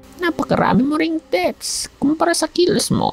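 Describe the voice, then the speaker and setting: The voice is high-pitched and moves at a moderate pace. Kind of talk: comic overacting. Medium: machinima. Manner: mocking, bossy.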